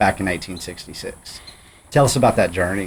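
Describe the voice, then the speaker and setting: A man speaks with a Texan accent. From Texas Panhandle. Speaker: podcast host. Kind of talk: interview conversation.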